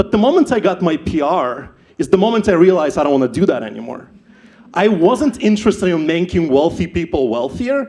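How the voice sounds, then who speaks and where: This man's voice is high, with a dark, mellow tone. He talks fairly quickly, and his pitch swings very widely. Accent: Ukrainian. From Ukraine. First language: not English (English is third language). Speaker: startup founder, event speaker. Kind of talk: personal story talk at live event. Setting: stage with audience.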